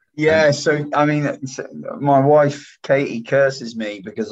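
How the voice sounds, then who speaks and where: This man has a fairly high pitch and speaks with an English accent. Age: 30s. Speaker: events company CEO. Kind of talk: casual interview.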